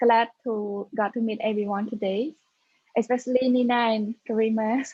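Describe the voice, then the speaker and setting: With a Cambodian accent, a woman speaks at a moderate pace in a fairly high pitch. Her tone is dark and mellow, somewhat breathy, and her intonation is monotone and flat. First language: Khmer. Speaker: tech startup founder. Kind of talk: panel discussion.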